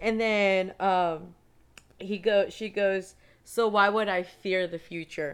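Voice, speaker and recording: A woman talks at a very slow pace. Her medium pitch carries fairly even intonation. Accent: Spanish. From San Antonio, Texas. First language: Spanish. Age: 20s. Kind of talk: casual chat, testimony.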